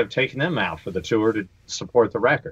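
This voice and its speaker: A man with an American accent speaks at a fairly quick pace in an unremarkable speaking voice with a fairly low pitch. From North Carolina. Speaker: touring guitarist. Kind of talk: casual chat. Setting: video call.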